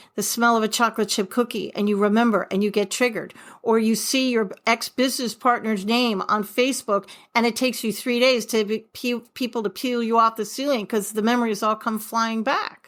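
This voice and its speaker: A woman with an American accent talks at a fairly quick pace in a fairly high pitch, recorded very cleanly against a silent background. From New York. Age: 60s. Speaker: author and forgiveness coach. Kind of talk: podcast interview. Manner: animated.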